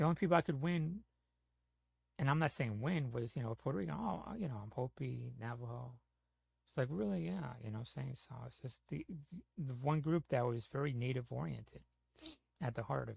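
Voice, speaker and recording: Speaking at a fairly quick pace with long, frequent pauses, a man uses a medium pitch, lively intonation and a somewhat breathy voice. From New York / New Jersey (Bronx, Jersey). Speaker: gaming streamer. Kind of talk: casual chat.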